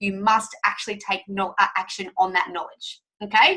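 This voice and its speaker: This is a woman's voice. Her tone is bright and sharp. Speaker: fitness coach. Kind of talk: sales webinar presentation. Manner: fast; animated.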